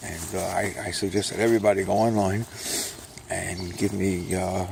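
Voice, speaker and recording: With a New York accent, a man speaks at a moderate pace in a monotone, flat delivery against noticeable background noise. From New York, Brooklyn. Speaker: self-published author and vlogger. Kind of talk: casual monologue while walking. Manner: speaking low; rambling with fillers.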